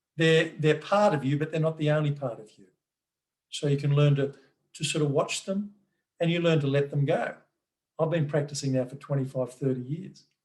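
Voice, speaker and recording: A man with an Australian accent talks at a fairly quick pace in a fairly high, somewhat breathy voice. His intonation stays fairly even, broken by long, frequent pauses. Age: 60s. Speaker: mindfulness workshop presenter. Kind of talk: online workshop talk. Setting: video call. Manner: halting, with repeated words and fillers.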